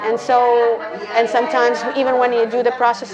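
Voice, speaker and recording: Against noticeable background noise, a woman with a fairly high pitch speaks in a flat, monotone way. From Canada, Calgary. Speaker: flamenco dancer and English teacher living abroad. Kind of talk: casual interview.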